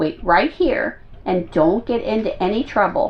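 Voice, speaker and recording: A woman does a put-on character voice with very wide pitch swings at a fairly high pitch. She keeps a moderate pace. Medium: read story.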